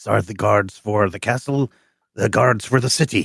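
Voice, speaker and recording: In a put-on character voice, a man speaks raspily at a medium pitch and moderate pace, with big swings in loudness. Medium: actual play. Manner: formal, proud, insists on proper titles.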